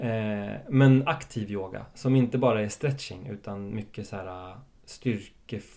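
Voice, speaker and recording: Speaking fairly slowly, a man with a fairly low pitch and a dark, mellow tone shows ordinary pitch variation and big swings in loudness. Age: 30s. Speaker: actor. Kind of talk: casual chat.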